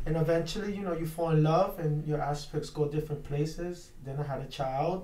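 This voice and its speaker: With an American accent, a man talks at a fairly high pitch and a fairly quick pace, with hardly any pauses and fairly even intonation. The room echo is audible, and background noise is noticeable. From Brooklyn, New York (Williamsburg). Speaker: pro wrestler. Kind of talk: radio interview.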